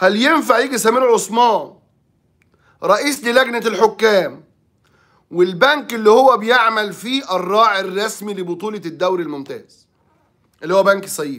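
Against a quiet background, the voice has a bright, sharp tone, ordinary pitch variation and a fairly slow pace. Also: man, high pitch for a man. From Egypt. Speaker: sports journalist. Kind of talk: sports talk commentary. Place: office. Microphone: phone near.

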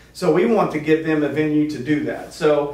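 The room echo is clearly audible. A man's voice carries through it. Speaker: guest. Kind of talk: interview answer. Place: meeting room. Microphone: camera far.

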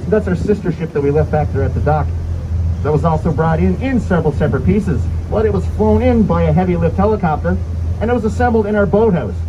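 At a very fast pace, a man with a very deep, low pitch shows ordinary pitch variation over noticeable background noise. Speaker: boat tour guide. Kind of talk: tour guide narration. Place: boat.

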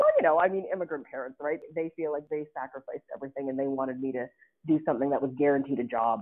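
A woman with a Canadian accent talks at a very fast pace. Her voice is very deep and low. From Ottawa, Canada. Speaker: diplomat. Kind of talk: interview.

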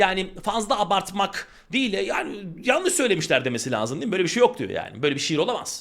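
A man's high, animated voice at a very fast pace with very wide pitch swings. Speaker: Turkish language teacher. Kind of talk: online exam-prep lesson.

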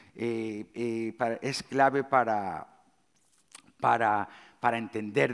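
Against a quiet background, a man speaks at a medium pitch. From Galicia, Spain. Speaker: chef. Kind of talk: conference talk. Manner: hesitant, many fillers. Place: stage. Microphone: headset.

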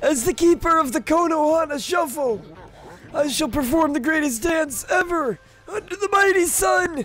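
At a moderate pace, a man speaks in a put-on character voice pitched extremely high. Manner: grandiose, solemn, dramatic.

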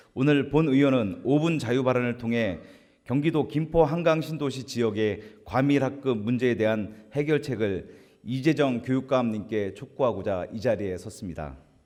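Medium in pitch with ordinary variation, a man's voice has a dark, mellow tone. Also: moderate pace. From South Korea, Gimpo (Gyeonggi). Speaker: provincial assembly member. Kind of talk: formal floor speech. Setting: assembly chamber. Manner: formal.

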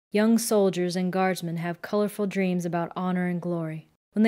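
Natural-voiced reading, fairly level intonation, quiet surroundings

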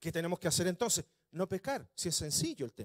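His intonation is lively. The man's voice comes across as somewhat breathy. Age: 40s. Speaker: pastor. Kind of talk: sermon. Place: church. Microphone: handheld.

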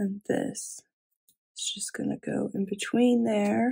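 The voice is slow, with a dark, mellow tone, a slightly husky edge and vocal fry. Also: woman, medium pitch for a woman, fairly even intonation.

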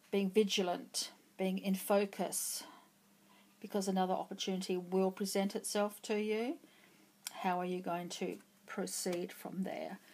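Speaking at a fairly slow pace, a woman keeps her intonation fairly even and leaves long, frequent pauses. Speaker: tarot reader. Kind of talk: pick-a-card tarot reading. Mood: calm, encouraging. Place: home room.

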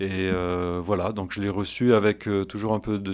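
This is a man with a fairly low pitch. He speaks at a moderate pace. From France, Valence area (Drôme); Drôme, France. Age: 40s. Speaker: priest. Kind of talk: interview; interview answer. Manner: halting, many hesitations. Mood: calm, earnest, modest. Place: studio. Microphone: studio mic.

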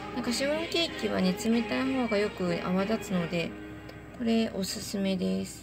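With music in the background, a woman at a medium pitch speaks in a relaxed tone with very wide pitch swings. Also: moderate pace. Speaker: home cook and baker. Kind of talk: casual talk to camera. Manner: relaxed, chatty.

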